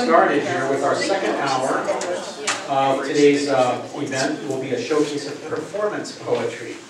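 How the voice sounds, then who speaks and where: Ordinary pitch variation, a moderate pace, and noticeable noise in the background. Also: man, fairly high pitch for a man. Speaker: poetry event host. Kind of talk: event host introduction.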